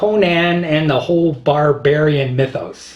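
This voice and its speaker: This man has an unremarkable speaking voice, fairly high in pitch, with ordinary pitch variation and a fairly slow delivery. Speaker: video blogger. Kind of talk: casual monologue.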